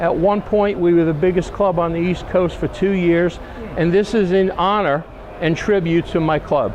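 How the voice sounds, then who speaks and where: A man with an American accent, high-pitched and monotone with flat intonation, very even loudness, a moderate pace, and noticeable background noise. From New York. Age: 60s. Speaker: van enthusiast. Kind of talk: casual show-and-tell. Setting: outdoor truck show.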